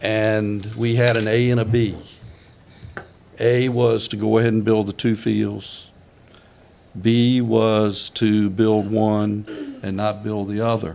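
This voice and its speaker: A man with a Virginia accent, fairly low-pitched, monotone and flat, at a very slow pace amid audible room echo. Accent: Virginia Southern. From Virginia, Louisa County. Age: 70s. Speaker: county supervisor. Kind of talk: public meeting deliberation. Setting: board meeting room. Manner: halting.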